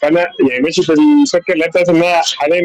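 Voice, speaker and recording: Speaking with an Egyptian accent, a man has a high pitch and ordinary pitch variation in a dry, close sound with no echo. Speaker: audience member, young engineer. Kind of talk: question in live session. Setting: online call from outside. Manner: hesitant.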